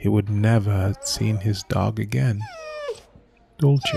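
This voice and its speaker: Noticeable background noise is present. Over it, a man talks very slowly. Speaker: voice actor. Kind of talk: audio story narration. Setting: studio. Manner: slow, somber.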